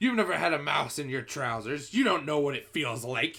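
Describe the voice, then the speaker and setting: Shouting in a put-on character voice, a man pitches his delivery fairly high. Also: moderate pace. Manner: shouting, indignant.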